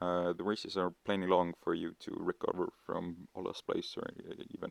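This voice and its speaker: A man speaks quietly at a fairly slow pace. The sound is dry and close, with no echo. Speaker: mobile racing game tutorial maker. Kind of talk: game tutorial voice-over. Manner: hesitant, many filler words.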